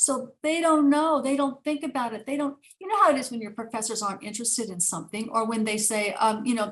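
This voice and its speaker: A woman speaks at a very fast pace. Her pitch varies in an ordinary way. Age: 60s. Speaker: neuropsychiatrist and author. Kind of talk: interview. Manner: animated; halting.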